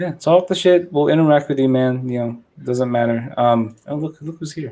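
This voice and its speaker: A man with a non-native accent, a fairly high pitch, a dark, mellow tone and a moderate pace. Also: ordinary pitch variation. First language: not English. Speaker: livestream host reviewing model builds. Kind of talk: casual livestream chat.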